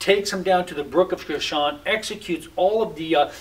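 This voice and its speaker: A man's voice is high-pitched and shows ordinary pitch variation. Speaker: pastor. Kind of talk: sermon-style bible teaching. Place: home room.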